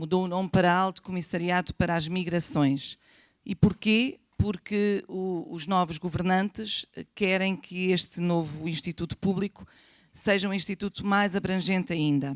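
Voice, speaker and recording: With a plain, everyday voice, a woman speaks at a fairly slow pace and fairly even intonation, in a dry, close sound with no echo. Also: medium pitch for a woman. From Portugal. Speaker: government official on immigration. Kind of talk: panel presentation. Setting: conference room with audience.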